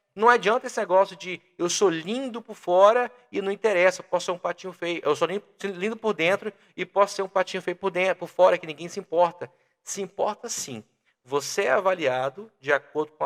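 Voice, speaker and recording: Using a high pitch and ordinary pitch variation, a man talks at a moderate pace with big swings in loudness. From Brazil, Minas Gerais interior (Teófilo Otoni). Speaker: sales and communication expert. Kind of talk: podcast interview.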